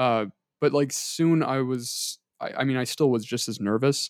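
A man speaks in a plain, everyday voice, fairly high in pitch, with ordinary pitch variation. The sound is dry and close, with no echo. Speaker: student, podcast co-host. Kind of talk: casual chat.

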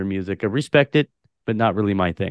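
A man with a West Coast accent talks at a very fast pace, his pitch varying in an ordinary way. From Portland, Oregon. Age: 30s. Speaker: podcast host. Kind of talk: casual interview chat.

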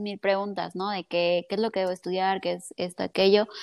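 A woman of medium pitch delivers her words in a monotone with flat intonation. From Mexico (Colima). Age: 20s. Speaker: psychologist and entrepreneur. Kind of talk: casual chat.

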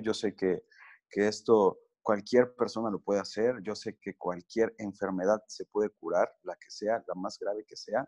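A man's dark, mellow voice at a fairly slow pace, monotone and flat in intonation, with big swings in loudness and a dry, close sound with no echo against a quiet background. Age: 30s. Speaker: cancer survivor sharing his recovery story. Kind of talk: podcast interview.

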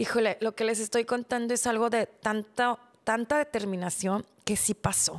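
A woman with an unremarkable speaking voice talks at a fairly high pitch and a moderate pace, with fairly even intonation and very even loudness in a dry, close sound with no echo. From Mexico, Monterrey area. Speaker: podcast host. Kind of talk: personal storytelling monologue.

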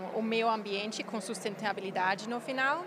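Audible room echo surrounds a woman with a German accent, who speaks at a fairly high pitch with ordinary pitch variation. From Germany. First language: German (speaking Portuguese). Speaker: environmental psychologist. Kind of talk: interview. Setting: conference event. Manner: halting.

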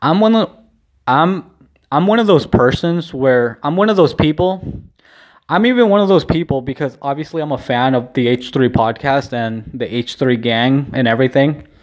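In a normal speaking voice with lively intonation, a man with an American accent talks at a moderate pace and fairly high pitch against a quiet background. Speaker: vlogger and podcaster. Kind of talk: solo video diary, casual chat. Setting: home, recording alone. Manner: rambling, casual, lots of filler words.

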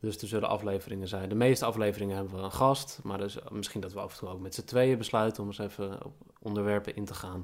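Very fast speech with hardly any pauses, fairly even intonation, and big swings in loudness. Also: man, fairly low pitch for a man. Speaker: podcast co-host. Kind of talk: casual chat.

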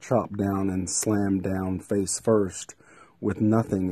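A man speaks with a fairly low pitch and a dark, mellow tone. His intonation is monotone and flat over a quiet background. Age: 40s. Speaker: TV journalist. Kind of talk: personal video diary. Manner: rambling, casual.

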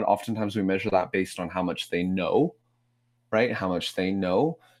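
Speaking at a moderate pace, a man with a fairly low pitch and ordinary pitch variation comes through in a very clean recording with a silent background. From Vancouver, Canada (Korean-Canadian community). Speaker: pastor and author. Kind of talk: podcast interview. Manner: animated.

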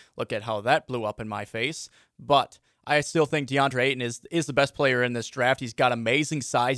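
In a very clean recording with a silent background and a dry, close sound with no echo, a normal speaking voice with an American accent moves at a moderate pace with fairly even intonation. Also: man. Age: 20s. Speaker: sports radio host. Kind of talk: casual chat.

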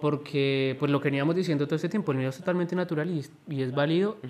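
Speaking at a very fast pace, a man with a fairly high pitch keeps his loudness very even and his pitch variation ordinary. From Colombia. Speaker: podcast guest. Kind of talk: casual chat. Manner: halting.

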